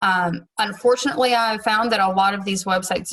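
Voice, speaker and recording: In a Southern US accent, the voice has a bright, sharp tone and ordinary pitch variation. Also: woman. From US South. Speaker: teacher. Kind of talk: tutorial.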